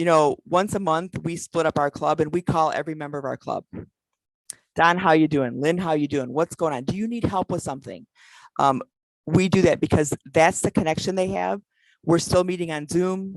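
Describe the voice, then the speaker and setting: In a dry, close sound with no echo, a woman speaks with an animated tone, a fairly low pitch and ordinary pitch variation. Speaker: past president of a service club organization. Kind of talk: virtual conference talk; Q&A. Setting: video call. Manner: fast.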